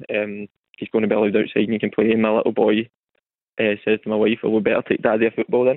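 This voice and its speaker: A man with a West of Scotland accent, fairly low in pitch, very fast in pace, with monotone, flat intonation. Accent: West of Scotland Scottish. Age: 30s. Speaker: mental health campaigner. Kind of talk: testimony. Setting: phone call.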